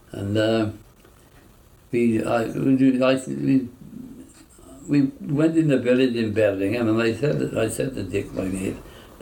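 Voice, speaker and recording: A man with a South Wales Valleys accent, medium pitch and ordinary pitch variation, at a fairly slow pace amid noticeable background noise. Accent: Welsh valleys English. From York, raised in south Wales valleys. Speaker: war veteran. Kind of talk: oral history interview. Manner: halting.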